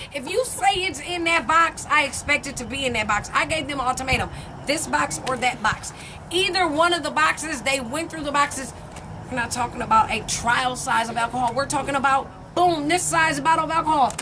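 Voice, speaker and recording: Against noticeable background noise, a woman speaks fairly quickly in a raised, projected voice, high-pitched and animated in tone. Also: ordinary pitch variation. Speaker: vlogger. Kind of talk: casual chat. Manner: loud.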